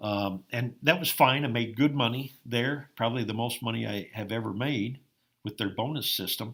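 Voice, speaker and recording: Medium-pitched male speech in an American accent, at a moderate pace with ordinary pitch variation. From Iowa, US Midwest. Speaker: farmer and former college basketball player. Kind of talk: interview. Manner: frequent hesitations with um.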